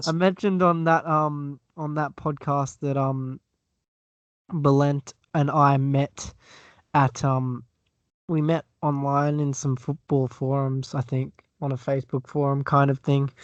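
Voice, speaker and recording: A man's fairly high voice, monotone and flat, at a fairly slow pace in a dry, close sound with no echo. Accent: Australian. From Australia. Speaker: podcaster guest. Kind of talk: casual podcast chat.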